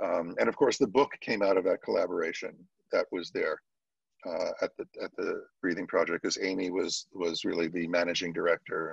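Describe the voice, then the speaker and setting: A man talks at a fairly quick pace, his voice dry and close with no echo. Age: 60s. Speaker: yoga teacher and anatomy educator. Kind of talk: casual chat.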